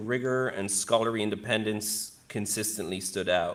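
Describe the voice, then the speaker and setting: A man with an Irish accent speaks at a fairly low pitch with ordinary pitch variation, recorded very cleanly against a silent background. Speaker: professor. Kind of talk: ceremony speech reading. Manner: fast.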